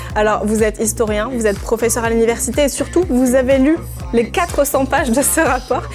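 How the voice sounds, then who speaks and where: Against music in the background, a woman with a fairly high pitch talks at a fairly quick pace, her loudness very even and her pitch variation ordinary. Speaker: TV presenter and journalist. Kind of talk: TV news explainer hosting.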